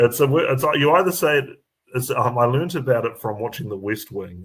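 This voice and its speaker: On a very clean recording with a silent background, a man with a New Zealand accent speaks fairly quickly at a medium pitch, somewhat breathy and with lively intonation. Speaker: comedian. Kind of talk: casual chat. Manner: halting, many fillers.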